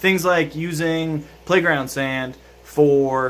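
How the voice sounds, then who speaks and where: A man is speaking. His intonation is fairly even. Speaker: fish keeping YouTuber. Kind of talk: casual vlog talk to camera. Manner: hesitant, many fillers.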